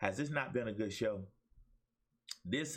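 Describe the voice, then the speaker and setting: Speaking in an Alabama accent at a moderate pace, a man uses an animated tone with very wide pitch swings. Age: 50s. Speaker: talk show host and pastor. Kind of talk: motivational preaching in a talk show. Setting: webcam livestream. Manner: animated, preacher-like exhortation.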